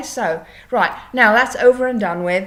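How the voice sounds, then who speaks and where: A woman's animated tone, lively intonation and moderate pace. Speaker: EFT tapping coach. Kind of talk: casual vlog tutorial. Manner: halting.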